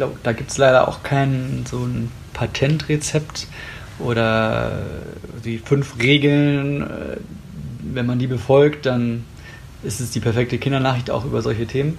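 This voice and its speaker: A man at medium pitch with fairly even intonation, a fairly slow pace and long, frequent pauses, over noticeable background noise. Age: 30s. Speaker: journalist, editor of children's news. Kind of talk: interview. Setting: recorded in a news agency office.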